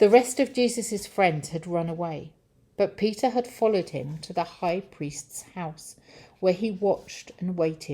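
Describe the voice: Reading aloud, plainly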